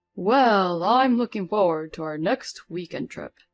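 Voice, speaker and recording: A woman uses a put-on character voice at a medium pitch and moderate pace. The sound is dry and close, with no echo. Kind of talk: casual, cheerful. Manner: loud, theatrical, staged for someone listening.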